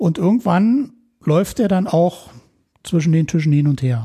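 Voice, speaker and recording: A man speaks in a dark, mellow tone. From West Berlin (Neukölln). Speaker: electronics technician and rescue dog handler. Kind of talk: casual interview.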